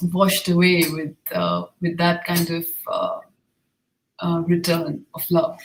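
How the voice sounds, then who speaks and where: Speaking at a very slow pace, a woman uses a medium-pitched, somewhat breathy voice. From India. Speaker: filmmaker and artist. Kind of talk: panel discussion.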